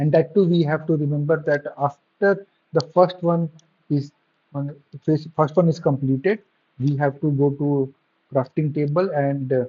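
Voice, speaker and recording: Somewhat breathy, a man speaks at a fairly slow pace in a fairly high pitch with fairly even intonation and long, frequent pauses. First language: not English. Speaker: game developer. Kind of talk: gameplay tutorial. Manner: halting, fumbling for words.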